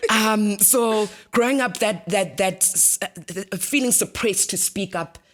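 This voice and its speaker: The speech moves at a fairly slow pace with ordinary pitch variation, and there is noticeable background noise. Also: woman. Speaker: radio host. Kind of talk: interview.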